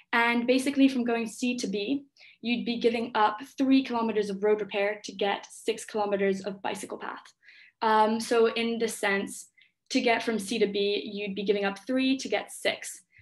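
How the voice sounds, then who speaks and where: A woman with a fairly high voice speaks in a flat monotone against a quiet background. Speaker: student tutor for an economics review session. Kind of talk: online review lecture. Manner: fast.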